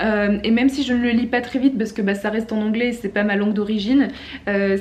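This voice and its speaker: Against noticeable background noise, a woman talks fairly quickly at a fairly high pitch with fairly even intonation. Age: 20s. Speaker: booktuber. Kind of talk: reading vlog. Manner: hesitant, many fillers.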